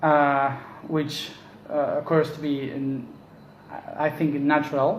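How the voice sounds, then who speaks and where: A man speaks in a Spanish accent at a fairly high pitch. His pace is very slow, and the room echo is audible. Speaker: spiritual teacher. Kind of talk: casual monologue. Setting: at home. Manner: halting.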